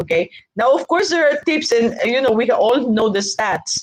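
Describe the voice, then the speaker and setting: Her pitch is high and swings very widely as this woman talks at a moderate pace in an animated tone. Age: 60s. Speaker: business executive, speaker. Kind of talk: webinar lecture.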